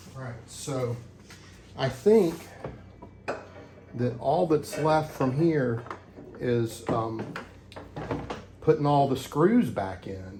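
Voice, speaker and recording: Amid noticeable background noise and audible room echo, a medium-pitched man talks at a very slow pace with long, frequent pauses and big swings in loudness. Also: lively intonation. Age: 60s. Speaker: DIY hobbyist. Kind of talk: tutorial. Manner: halting, many fillers; casual.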